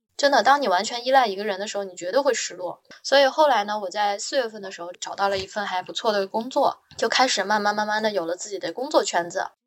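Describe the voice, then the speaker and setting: A woman's medium-pitched, animated voice at a very fast pace, with ordinary pitch variation and big swings in loudness. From northern China. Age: 20s. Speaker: marketing professional. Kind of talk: casual interview storytelling.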